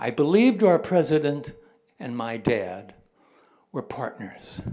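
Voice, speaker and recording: In an American accent, a man talks at a fairly slow pace. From US Midwest, St. Louis. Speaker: poet. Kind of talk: poetry reading.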